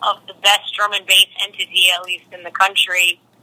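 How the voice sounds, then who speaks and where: A woman speaks at a moderate pace in a flat monotone, the sound dry and close with no echo. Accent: American. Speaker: DJ and interview guest. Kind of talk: casual interview chat. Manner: relaxed, self-deprecating, hesitant with fillers.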